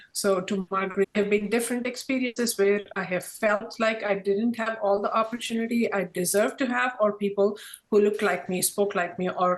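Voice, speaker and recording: A woman with an Indian accent talks at a fairly quick pace. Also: medium pitch for a woman, fairly even intonation. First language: Indian language. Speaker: corporate diversity professional. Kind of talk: panel discussion.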